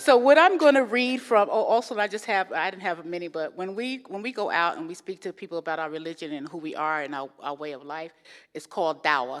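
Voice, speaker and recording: A woman speaks with a slight New York accent, lively intonation, and big swings in loudness. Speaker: guest speaker. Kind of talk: interfaith talk. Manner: fast.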